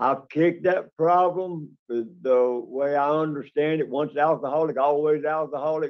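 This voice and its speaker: At a moderate pace, a man talks with a Southern US accent. His pitch is fairly high. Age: 60s. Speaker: parole applicant. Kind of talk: parole hearing testimony. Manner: halting.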